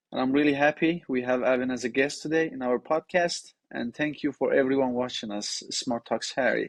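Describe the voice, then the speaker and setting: A man with a Persian accent and a fairly high voice talks at a fairly quick pace with hardly any pauses and fairly even intonation, recorded dry and close with no echo. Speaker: podcast host. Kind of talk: interview.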